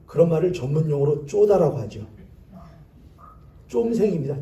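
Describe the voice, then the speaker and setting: With a dark, mellow tone and fairly high pitch, a man talks at a moderate pace. His intonation is lively, and room echo is audible. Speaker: pastor. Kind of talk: sermon. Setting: church.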